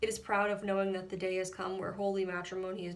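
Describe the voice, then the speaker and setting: Noticeable background noise runs under a woman speaking very fast. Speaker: poet reading own poem. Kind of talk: slam poetry reading.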